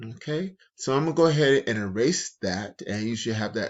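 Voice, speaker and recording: Lively intonation from a male speaker. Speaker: middle school math teacher. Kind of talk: tutorial. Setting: recorded video lesson. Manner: slow.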